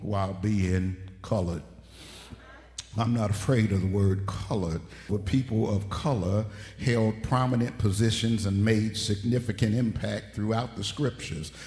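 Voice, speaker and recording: Audible room echo surrounds a man talking at a moderate pace. His pitch is fairly low and his intonation fairly even. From Detroit, US Midwest. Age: 60s. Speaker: pastor. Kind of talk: sermon. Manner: emphatic, repeats points.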